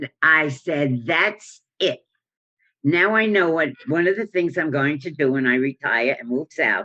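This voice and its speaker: A woman speaks at a fairly slow pace in a very deep, low pitch with ordinary variation. The sound is dry and close, with no echo. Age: 80s+. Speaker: retired teacher and community theater tap dancer. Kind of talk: interview answer.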